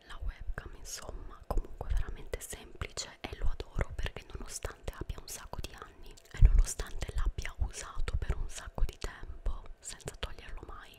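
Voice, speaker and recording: Whispering softly at a moderate pace, the voice runs on with hardly any pauses. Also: woman. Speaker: ASMR creator. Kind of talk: soft-spoken ASMR show and tell. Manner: close soft whisper into microphone. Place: home room. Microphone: studio mic.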